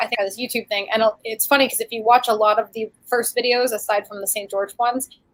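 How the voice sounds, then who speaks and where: A woman talks at a very fast pace with hardly any pauses. Her voice is fairly high and monotone, with flat intonation and big swings in loudness. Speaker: YouTube creator and crafter. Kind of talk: casual chat.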